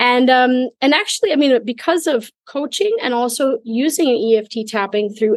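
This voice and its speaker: Speaking at a moderate pace with lively intonation, a woman uses a plain, everyday voice. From US Midwest, Minnesota. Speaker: life coach. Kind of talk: interview.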